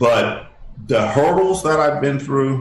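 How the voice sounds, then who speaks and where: A man's somewhat breathy voice at medium pitch, very slow pace, and audible room echo. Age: 60s. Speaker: inventor and humanitarian. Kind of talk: interview. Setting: radio show. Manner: halting.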